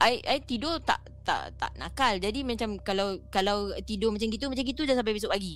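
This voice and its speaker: A woman with a fairly high pitch and vocal fry speaks at a fairly quick pace, with ordinary pitch variation. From Singapore. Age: middle-aged. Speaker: caller sharing ghost stories. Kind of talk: storytelling.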